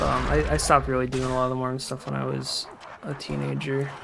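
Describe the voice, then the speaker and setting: Noticeable background noise and audible room echo around a man with an American accent. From Utah. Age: 20s. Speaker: video game streamer. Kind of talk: casual chat. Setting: live stream.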